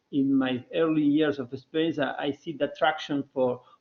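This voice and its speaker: A man's fairly high voice moves at a moderate pace. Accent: Spanish. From Argentina. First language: Spanish. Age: 40s. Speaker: development consultant. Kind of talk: alumni talk, online seminar. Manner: halting, many fillers and repetitions.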